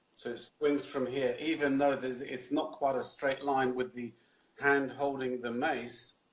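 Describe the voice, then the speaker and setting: Fairly slow, monotone, flat delivery from a man at medium pitch. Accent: British. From London, England. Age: 60s. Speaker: Indian club swinging instructor. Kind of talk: interview answer.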